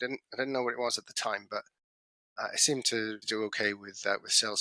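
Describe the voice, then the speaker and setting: A man with a British accent talks at a very fast pace in a medium pitch with a bright, sharp tone. The sound is dry and close, with no echo. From UK. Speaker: business consultant. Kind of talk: podcast interview. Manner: halting, with stammers and restarts.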